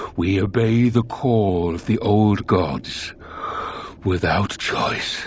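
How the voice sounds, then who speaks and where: With clear background noise behind him, a man puts on a character voice, fairly low in pitch, and speaks at a very slow pace. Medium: video game. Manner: measured, formal, calm.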